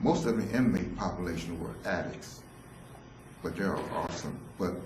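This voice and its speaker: A man's very deep, low voice at a fairly slow pace, with noticeable background noise and audible room echo. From San Francisco, US. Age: 60s. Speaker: solo theatre performer, former drug counselor. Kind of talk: autobiographical solo performance.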